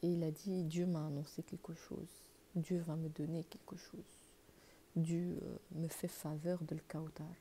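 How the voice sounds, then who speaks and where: Soft-spoken and very deep in pitch, a woman speaks very slowly in a dark, mellow tone. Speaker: religious YouTuber. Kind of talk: religious talk to camera. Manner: halting.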